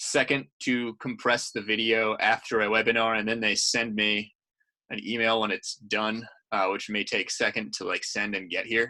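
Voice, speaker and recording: A bright, sharp tone marks this man's voice. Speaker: programming instructor. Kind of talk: webinar tutorial. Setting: video call. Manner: fast.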